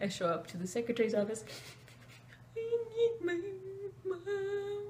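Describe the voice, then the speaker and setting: The pace is fairly slow. The speech is quiet. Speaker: vlogger. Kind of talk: storytelling vlog. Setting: at home at night, roommate next door. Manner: quiet, hushed.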